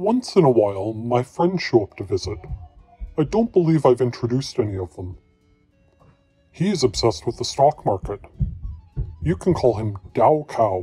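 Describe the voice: In a cartoonish character voice, a man speaks at a medium pitch and a moderate pace. Long, frequent pauses break it up, with faint music in the background.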